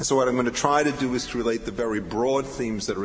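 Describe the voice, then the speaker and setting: A man talks at a very fast pace with a medium pitch. His intonation is fairly even, and background noise is noticeable. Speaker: legal historian. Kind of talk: academic conference talk.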